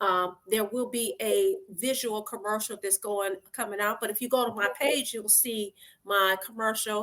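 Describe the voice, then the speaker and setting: Bright and sharp in tone, a woman with an American accent speaks at a fairly high pitch. She goes at a fairly slow pace with hardly any pauses. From Detroit, US. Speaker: lawyer and judicial candidate. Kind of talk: interview. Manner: loud when excited; animated.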